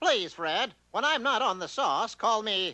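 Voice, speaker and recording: A man does a cartoonish character voice at a high pitch and a moderate pace. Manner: pompous, self-assured.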